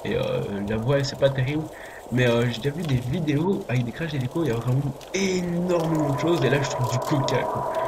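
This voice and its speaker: A fairly quick, fairly high-pitched male voice with audible room echo and noticeable background noise. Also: ordinary pitch variation. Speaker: gaming youtuber. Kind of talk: gameplay commentary. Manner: whispering a bit; hesitant, many fillers. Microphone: voice quiet, game audio too loud.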